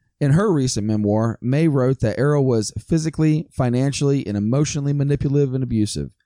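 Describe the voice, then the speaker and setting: A dark, mellow voice speaks at a fairly quick pace with ordinary pitch variation, the sound dry and close with no echo on a very clean recording over a silent background. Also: man. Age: 40s. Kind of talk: scripted narration; casual chat.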